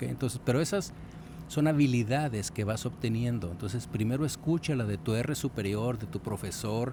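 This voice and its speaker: A man's dark, mellow voice at medium pitch, with vocal fry, lively intonation and a moderate pace. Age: 60s. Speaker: radiologist and podcast host. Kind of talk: podcast discussion. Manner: conversational, frequent fillers and repetitions.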